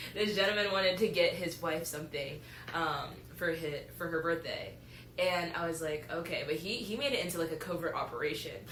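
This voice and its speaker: Speaking at a fairly quick pace, a woman with a fairly low pitch comes through over noticeable background noise and audible room echo. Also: ordinary pitch variation. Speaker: podcast host, college student. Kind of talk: casual chat. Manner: loud.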